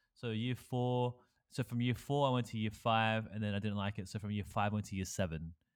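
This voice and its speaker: Fairly quick in pace, a man speaks with an Australian accent. His voice is fairly low, with ordinary pitch variation. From Australia, small country town, Malaysian Chinese parents. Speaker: podcast host. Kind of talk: casual chat.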